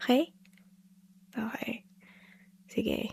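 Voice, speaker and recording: A soft-spoken woman talks at a very slow pace, with a dry, close sound and no echo. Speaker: ASMR performer. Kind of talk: ASMR comfort roleplay.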